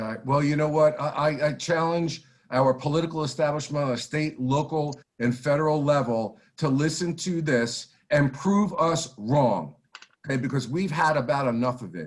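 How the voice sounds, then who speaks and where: A man with a fairly high pitch speaks at a moderate pace, with ordinary pitch variation. His voice is somewhat breathy. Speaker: lawyer-style talk show host, heritage group officer. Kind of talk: live interview show. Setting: livestream video call. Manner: impassioned rant.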